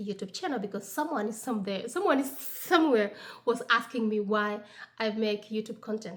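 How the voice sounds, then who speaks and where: At a moderate pace, a woman with an African accent talks at a fairly high pitch. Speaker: lifestyle vlogger. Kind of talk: casual vlog talk. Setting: at home on Sunday morning. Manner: halting, many fillers.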